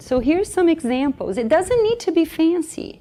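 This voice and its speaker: The voice has a Brazilian accent. Its tone is dark and mellow. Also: woman. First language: Portuguese. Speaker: early childhood education coach. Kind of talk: conference workshop presentation. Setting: conference room with audience. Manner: animated.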